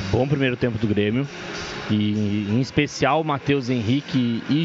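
Noticeable background noise behind a man's moderately paced speech with fairly even intonation. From northwestern Rio Grande do Sul, Brazil. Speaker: fan guest commentator. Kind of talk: casual commentary.

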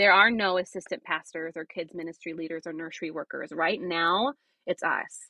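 A woman with an American accent and an ordinary speaking voice, fairly low in pitch, with ordinary pitch variation, a moderate pace and big swings in loudness. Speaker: missionary. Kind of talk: interview, testimony.

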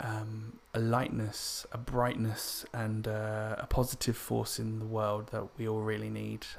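The speech has a monotone, flat intonation with an English accent. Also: man. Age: 30s. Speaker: podcaster. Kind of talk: personal monologue. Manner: hesitant, many fillers.

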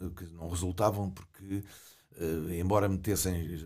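Here a man speaks with a very deep, low pitch. His tone is dark and mellow, and his pace is moderate. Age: 70s. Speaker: retired ornithologist. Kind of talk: interview. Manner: halting.

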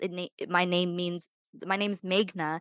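A woman speaks at a fairly low pitch and a moderate pace in a plain, everyday voice. The sound is dry and close with no echo, over a quiet background. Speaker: podcast host. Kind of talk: casual chat.

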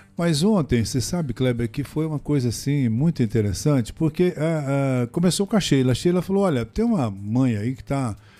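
A man talks at a moderate pace with hardly any pauses, his fairly high pitch carrying a dark, mellow tone. His intonation is lively, and the recording is very clean with a silent background. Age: 60s. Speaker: radio broadcaster. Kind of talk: interview, storytelling. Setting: studio.

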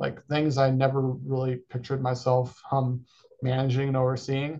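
A man speaks with an American accent at a medium pitch. His voice is somewhat breathy, and the background is quiet. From California. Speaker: university sports program coordinator. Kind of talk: interview.

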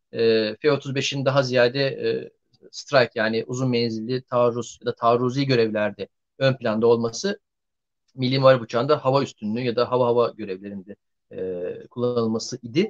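With a dry, close sound and no echo, an unremarkable speaking voice proceeds at a moderate pace with fairly even intonation. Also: man, medium pitch for a man. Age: 40s. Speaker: defense analyst. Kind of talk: live online discussion.

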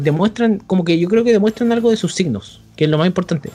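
Here a man speaks with a Chilean accent. His intonation is lively. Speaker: podcast host. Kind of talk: casual chat.

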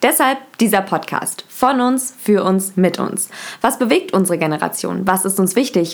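In an ordinary speaking voice, a woman talks at a moderate pace with lively intonation. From Germany, Berlin. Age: 20s. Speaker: podcast host, university student. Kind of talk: scripted podcast intro.

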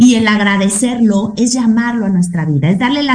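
Noticeable background noise beneath speech at a moderate pace. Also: woman. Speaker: radio host. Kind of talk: casual chat.

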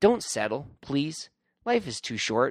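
A man's medium-pitched voice at a slow pace, with big pitch swings

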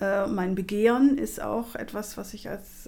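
With a normal speaking voice, a woman talks at a medium pitch with ordinary pitch variation. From Germany. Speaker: activist and lecturer. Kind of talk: casual interview conversation.

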